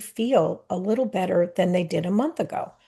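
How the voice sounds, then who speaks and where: This woman speaks at a fairly quick pace in a dark, mellow tone that is somewhat breathy. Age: 60s. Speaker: wellness coach and travel advisor. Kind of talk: scripted narration.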